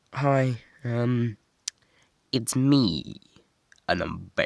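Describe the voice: A man speaks at a fairly low pitch with vocal fry and a slightly mellow tone, the sound dry and close with no echo.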